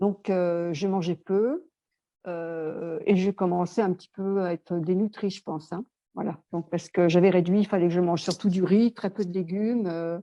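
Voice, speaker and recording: A woman's medium-pitched voice, dark and mellow in tone, keeps a fairly even intonation at a moderate pace, recorded dry and close with no echo. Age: 60s. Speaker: customer giving testimonial. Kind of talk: testimony. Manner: halting, many hesitations.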